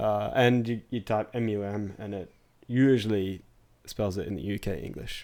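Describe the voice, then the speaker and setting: A man with an Australian accent, his fairly low pitch and dark, mellow tone carrying ordinary pitch variation. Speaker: podcast co-host. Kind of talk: casual chat.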